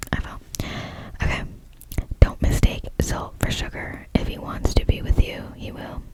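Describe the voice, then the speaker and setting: A woman whispers slowly, leaving long, frequent pauses, her loudness swinging widely. Noticeable background noise sits under her voice. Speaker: ASMR creator. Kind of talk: poetry reading. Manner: whispered.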